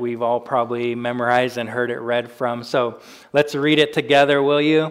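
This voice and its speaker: An American accent at a moderate pace with monotone, flat intonation. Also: man. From US Pacific Northwest (Spokane, Washington). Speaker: pastor. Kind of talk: sermon.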